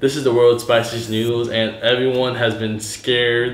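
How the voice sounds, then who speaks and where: Audible room echo surrounds a man's speech. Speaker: video host. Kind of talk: casual vlog chat. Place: home room. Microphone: camera far.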